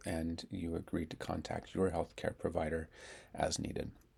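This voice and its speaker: A man's very deep, low voice, dark and mellow in tone, calm and somewhat breathy, at a fairly quick pace on a very clean recording with a silent background. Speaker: speech therapist. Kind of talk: guided tapping tutorial. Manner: calm instructional; repetitions and sound blocks.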